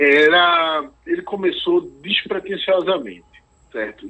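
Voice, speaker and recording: A man speaks with ordinary pitch variation. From Recife, Brazil. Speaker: singer-songwriter. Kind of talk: interview. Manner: halting.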